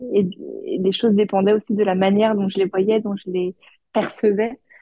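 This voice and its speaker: The woman's voice sits at a medium pitch. She talks fairly slowly. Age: 30s. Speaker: HR manager and mother. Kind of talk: testimony. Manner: halting.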